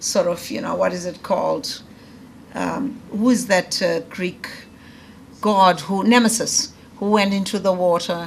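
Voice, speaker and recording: Audible room echo and noticeable background noise fill the recording. Through it, a woman speaks at a moderate pace. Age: 50s. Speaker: professor. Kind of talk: lecture. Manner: conversational with fillers and false starts; formal, read from prepared text.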